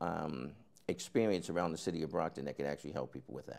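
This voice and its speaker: A man talks at a very fast pace. His voice carries vocal fry. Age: 50s. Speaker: city council candidate. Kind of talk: interview. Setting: studio. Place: studio. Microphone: lapel.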